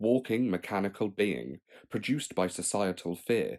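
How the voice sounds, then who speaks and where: A man speaks at a moderate pace in a fairly low pitch with a dark, mellow tone and ordinary pitch variation, on a very clean recording with a silent background. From England. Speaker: poet. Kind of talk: poetry reading.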